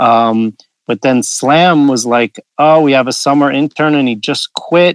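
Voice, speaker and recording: Delivered at a moderate pace, a plain, everyday voice comes through with a dry, close sound with no echo. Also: man. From suburban New York. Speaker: magazine editor. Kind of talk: interview.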